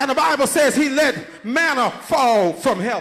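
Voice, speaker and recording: Noticeable noise runs in the background. Over it, a man talks at a moderate pace. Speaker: preacher. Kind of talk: sermon to a congregation.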